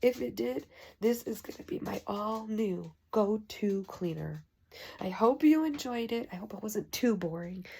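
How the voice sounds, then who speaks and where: A woman speaks at a moderate pace with lively intonation and a fairly high pitch. Her tone is dark and mellow, and somewhat breathy. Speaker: home product reviewer. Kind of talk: casual product review. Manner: quiet.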